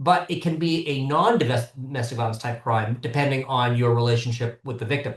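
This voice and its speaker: With an American accent, a man talks at a fairly quick pace in a somewhat breathy, medium-pitched voice with ordinary pitch variation. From US, Southern California. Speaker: criminal attorney, former prosecutor. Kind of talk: podcast interview.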